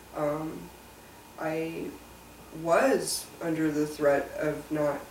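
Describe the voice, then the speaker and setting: A woman with a very deep, low voice and fairly even intonation speaks with audible room echo and light background noise. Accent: General American. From US Mountain West (Colorado). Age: 30s. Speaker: web and graphic designer. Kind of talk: personal testimony interview. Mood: reflective, personal. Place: home room.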